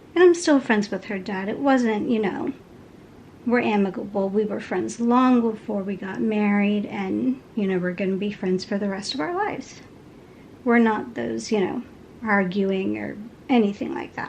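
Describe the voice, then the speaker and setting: Soft-spoken and at a moderate pace, a woman uses lively intonation at a medium pitch. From Texas, Houston. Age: 30s. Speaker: crafting vlogger. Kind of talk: casual chat.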